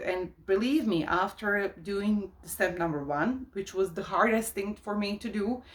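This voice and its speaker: A woman's medium-pitched voice with lively intonation at a moderate pace amid noticeable background noise. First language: not English. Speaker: life coach, YouTuber. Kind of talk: casual monologue to camera. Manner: hesitant, many fillers.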